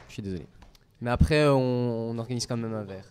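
A man talking at a moderate pace. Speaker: student moderator. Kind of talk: moderating. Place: hall. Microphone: podium.

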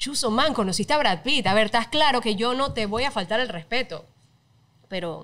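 A woman's voice sits at a fairly high pitch and moves with lively intonation. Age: 30s. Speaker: TV presenter; podcast guest. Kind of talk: casual chat. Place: studio. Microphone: studio mic.

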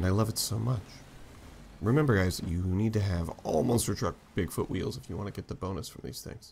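A man's fairly low, somewhat breathy voice, fairly quick, with ordinary pitch variation and big swings in loudness. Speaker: gaming YouTuber. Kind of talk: casual gameplay commentary. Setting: gameplay recording. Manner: animated, excitable.

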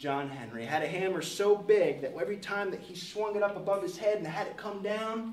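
The voice sounds natural. It is reading something aloud.

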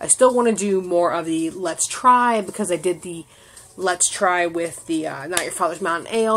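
A woman talks at a moderate speed, her pitch varying in an ordinary way. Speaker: vlogger. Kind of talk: casual vlog rant. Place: home room. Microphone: phone near.

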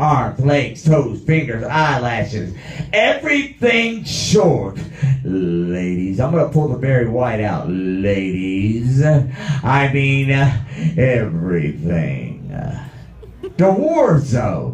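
Speaking at a very slow pace, a man swings very widely in pitch while audible room echo surrounds him. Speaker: stand-up comedian. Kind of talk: stand-up comedy routine. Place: stage.

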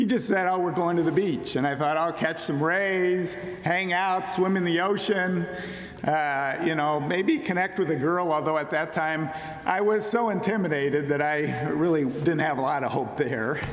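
Over light background noise and audible room echo, a man speaks in a high pitch. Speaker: speaker. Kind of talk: sermon. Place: church. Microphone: podium.

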